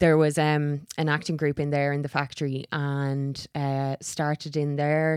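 In a very clean recording with a silent background, a woman with an Irish accent speaks at a very deep, low pitch with monotone, flat intonation. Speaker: actor. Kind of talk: casual chat. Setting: studio.

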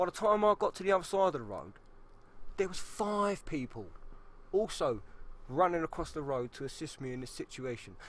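A man with a London accent, his pitch fairly high and his pace fairly quick, with big swings in loudness. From South East London. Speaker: podcast co-host. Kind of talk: casual chat.

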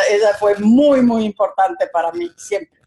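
In a Quito Ecuadorian accent, a woman speaks with fairly even intonation and a dark, mellow tone. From Ecuador, Quito. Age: 60s. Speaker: entrepreneur. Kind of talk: interview.

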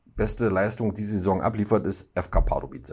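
A man talks at a moderate pace and a fairly low pitch. His tone is dark and mellow, with ordinary pitch variation. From eastern Saxony, German-Czech border area. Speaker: football podcast host. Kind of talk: casual chat.

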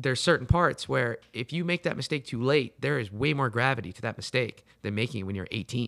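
The recording is dry and close with no echo. A man talks fairly quickly at a medium pitch, a normal speaking voice. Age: 20s. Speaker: podcast co-host. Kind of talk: casual interview chat.

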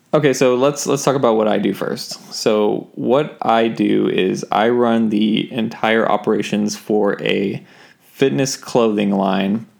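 A man talks at a fairly slow pace with hardly any pauses. He has a plain, everyday voice of medium pitch and ordinary pitch variation. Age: 20s. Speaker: podcast co-host, operations manager at a clothing company. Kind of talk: casual chat. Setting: home recording.

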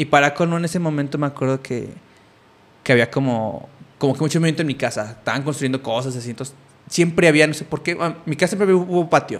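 A man rattles along at a very fast pace in a fairly high pitch. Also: ordinary pitch variation. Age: 30s. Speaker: podcast host. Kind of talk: casual chat.

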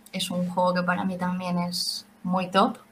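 This woman's voice is pitched in the medium range. There is a somewhat breathy quality to it. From Spain, Valencia. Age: 20s. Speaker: 3D printing craft maker. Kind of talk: interview.

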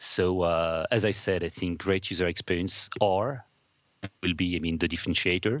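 A man speaks at a moderate pace with a French accent, his pitch very deep and low. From France, Paris. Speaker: UX design executive. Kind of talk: interview. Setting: studio. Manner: halting, many fillers.

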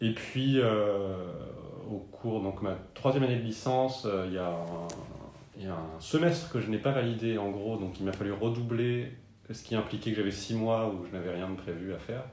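A man with a fairly low pitch and ordinary pitch variation talks at a moderate pace, leaving long, frequent pauses. Room echo and noticeable background noise are both audible. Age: 30s. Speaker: local newspaper journalist. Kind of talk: interview. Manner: hesitant, many fillers.

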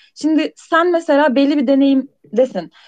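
A woman speaks in a high pitch. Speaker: software team lead. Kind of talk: casual interview chat. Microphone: voice cutting out intermittently.

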